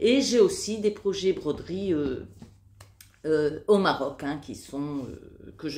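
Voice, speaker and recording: Very wide swings of pitch in a woman's voice. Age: 60s. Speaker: crafting YouTuber. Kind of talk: casual show-and-tell video. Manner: hesitant, many fillers.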